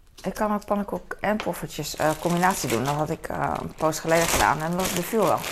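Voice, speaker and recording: Over noticeable background noise, a woman with a fairly low voice talks at a fairly quick pace, with ordinary pitch variation and hardly any pauses. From Netherlands, The Hague. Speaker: vlogger. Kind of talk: casual vlog monologue. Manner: halting, many fillers.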